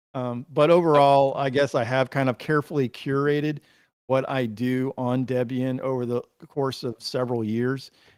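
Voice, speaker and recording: This man has an ordinary speaking voice at a medium pitch, with fairly even intonation and a dry, close sound that has no echo. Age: 50s. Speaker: livestream guest sharing Linux workflow. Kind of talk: casual chat.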